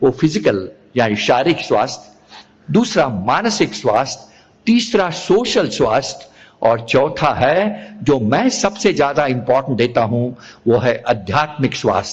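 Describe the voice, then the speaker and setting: A somewhat breathy voice makes very wide pitch swings while holding very even loudness. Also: man. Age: 80s+. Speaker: physician. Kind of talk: talk at a religious assembly. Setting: religious assembly with audience. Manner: repetitive, emphatic.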